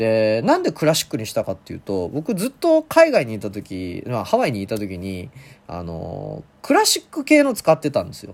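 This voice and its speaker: In a very clean recording with a silent background, a man speaks at a moderate pace with big swings in loudness. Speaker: solo podcast host answering listener questions. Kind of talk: casual solo talk. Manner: hesitant, rusty.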